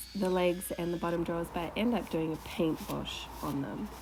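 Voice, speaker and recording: In an Australian accent, a woman speaks at a moderate pace and medium pitch with fairly even intonation. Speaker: furniture refinisher. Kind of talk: voiceover tutorial narration. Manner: casual.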